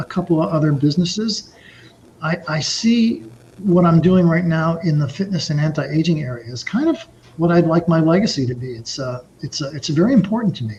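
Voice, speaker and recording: A man with an American accent talks at a fairly quick pace in a high voice with lively intonation, against noticeable background noise. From New York (Brooklyn). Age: 60s. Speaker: author and entrepreneur. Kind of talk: podcast interview. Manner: halting, frequent repetitions.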